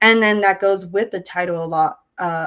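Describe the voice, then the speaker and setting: With a Spanish accent, a woman speaks in fairly even intonation. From California Central Valley, Porterville. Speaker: visual artist. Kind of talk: artist talk interview. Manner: relaxed, reflective with many fillers.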